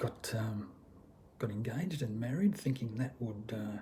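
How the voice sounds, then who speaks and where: Somewhat breathy, with a dark, mellow tone. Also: man. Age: 60s. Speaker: vlogger. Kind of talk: personal testimony vlog. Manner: halting, many fillers.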